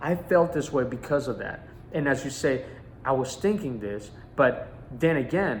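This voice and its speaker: Breathiness runs somewhat through this man's voice. His pitch is fairly high, with ordinary pitch variation. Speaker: life coach. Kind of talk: motivational teaching talk. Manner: halting, repeats words.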